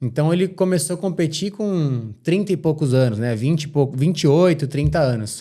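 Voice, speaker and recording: In a very clean recording with a silent background, a man with a dark, mellow tone talks at a moderate pace with ordinary pitch variation. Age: 20s. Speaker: professional motorcycle racer. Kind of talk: podcast interview.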